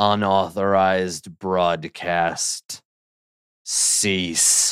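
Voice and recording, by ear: A raspy, put-on character voice at a very slow pace, monotone and flat in intonation. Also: man, very deep, low pitch for a man.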